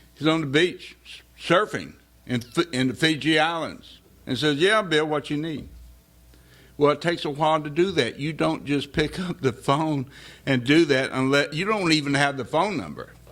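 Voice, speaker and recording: On a very clean recording with a silent background, a man with an ordinary speaking voice talks at a moderate pace, pitched fairly high with ordinary pitch variation. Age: 60s. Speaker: political candidate. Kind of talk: campaign speech. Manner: casual, joking.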